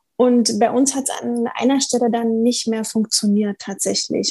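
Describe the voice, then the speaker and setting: This woman's fairly high voice has a dark, mellow tone, fairly even intonation and a moderate pace. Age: 40s. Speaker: couples therapist. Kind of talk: casual interview chat.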